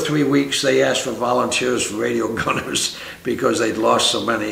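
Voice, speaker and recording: At a moderate pace, a man speaks in an American accent while noticeable background noise continues. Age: 80s+. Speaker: war veteran. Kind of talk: interview answer. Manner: hesitant.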